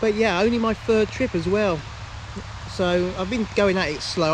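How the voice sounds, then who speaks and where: There is noticeable background noise behind a man. He speaks at a moderate pace with ordinary pitch variation. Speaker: angler vlogger. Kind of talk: casual vlog to camera. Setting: outdoors by a lake. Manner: loud.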